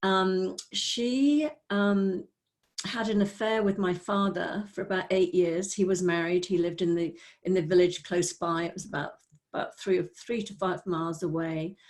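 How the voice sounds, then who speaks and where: A woman speaks with a Welsh accent at a moderate pace. Her pitch sits in the medium range. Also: ordinary pitch variation. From North Wales. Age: 60s. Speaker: spiritual teacher. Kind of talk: personal testimony. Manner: halting.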